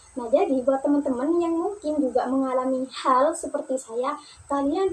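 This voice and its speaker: A woman's high voice at a moderate pace, with ordinary pitch variation and noticeable background noise. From Probolinggo, East Java, Indonesia. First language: Madurese (speaking Indonesian). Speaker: university student. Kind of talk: personal storytelling for class assignment. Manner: casual, conversational.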